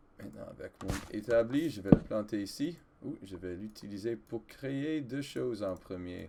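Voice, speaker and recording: Fairly slow and fairly low, a man's voice shows lively intonation and big swings in loudness. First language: English (speaking French). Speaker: gaming video creator, French teacher. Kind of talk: let's play gameplay commentary. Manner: halting, with hesitations and self-corrections.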